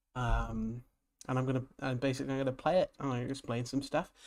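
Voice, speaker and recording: A man with a medium pitch talks on a very clean recording, the background silent. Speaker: gaming streamer. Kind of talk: live stream commentary. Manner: halting.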